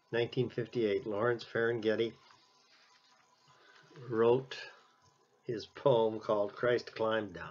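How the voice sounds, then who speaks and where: With long, frequent pauses, a man speaks in a monotone, flat intonation. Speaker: minister giving an Advent reflection. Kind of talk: Advent sermon reflection. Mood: calm, reflective. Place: home room. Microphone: webcam.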